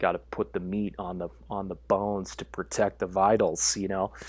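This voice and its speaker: This is a man speaking. His voice sits fairly low. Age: 40s. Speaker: holistic lifestyle and movement coach. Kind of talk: casual interview chat. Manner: halting, many fillers and repetitions.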